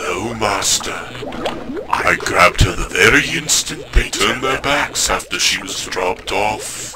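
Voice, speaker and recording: Speaking at a fairly slow pace over clear background noise, a man does a put-on character voice. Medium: audio drama. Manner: monotone, obedient.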